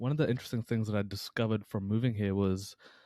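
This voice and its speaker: A man with a New Zealand accent talks at a very fast pace in a medium pitch, the sound dry and close with no echo on a very clean recording with a silent background. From New Zealand, Taranaki (Hāwera); born in Pakistan. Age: 20s. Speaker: personal trainer and mental health coach. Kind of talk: podcast interview. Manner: casual, halting with fillers.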